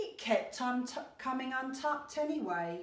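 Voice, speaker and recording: A woman puts on a high-pitched character voice at a moderate pace, with a slight echo. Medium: read story. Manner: cheerful.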